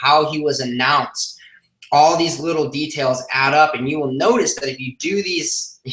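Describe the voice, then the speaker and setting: A man speaks at a fairly high pitch. Noticeable background noise runs behind him. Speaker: online business coach. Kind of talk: live stream. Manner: fast.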